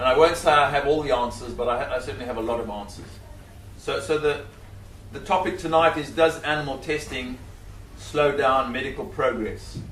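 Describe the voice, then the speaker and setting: With a Zimbabwean accent, a man speaks at a fairly high pitch with ordinary pitch variation, amid audible room echo and noticeable background noise. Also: fairly quick pace. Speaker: scientist and animal rights speaker. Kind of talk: public talk.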